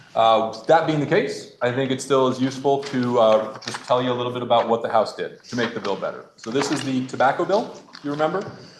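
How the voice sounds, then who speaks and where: Over noticeable background noise, a man with a medium pitch talks at a very fast pace with hardly any pauses and ordinary pitch variation. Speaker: state senator. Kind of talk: legislative floor report. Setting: senate chamber.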